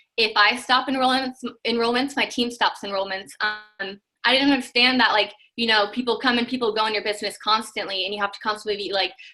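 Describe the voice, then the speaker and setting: Very fast speech from a woman at a fairly high pitch with fairly even intonation, music in the background. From Washington State, US. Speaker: network marketing team member. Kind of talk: personal testimony on video call.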